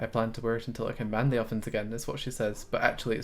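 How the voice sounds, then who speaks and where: A man talks at a very fast pace. He has a slight Scottish accent. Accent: Scottish, mild. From Scotland. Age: 20s. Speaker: gaming streamer. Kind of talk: live game stream commentary. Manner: sometimes stumbles over words.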